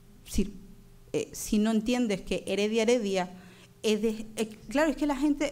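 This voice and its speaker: Through audible room echo, a woman with a fairly high voice speaks at a moderate pace with ordinary pitch variation. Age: 30s. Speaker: conference speaker, doctoral researcher. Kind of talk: conference talk. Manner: halting, many fillers.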